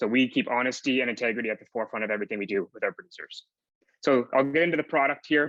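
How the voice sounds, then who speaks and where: With a bright, sharp tone and a fairly high pitch, a man talks at a fairly quick pace with ordinary pitch variation, the sound dry and close with no echo. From Atlantic Canada. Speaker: startup founder presenting. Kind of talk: pitch presentation. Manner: fast.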